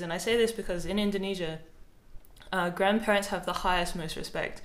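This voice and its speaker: Speaking with an Australian accent, a woman at medium pitch uses fairly even intonation amid noticeable background noise and audible room echo. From South Australia. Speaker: podcast host and author. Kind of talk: casual chat.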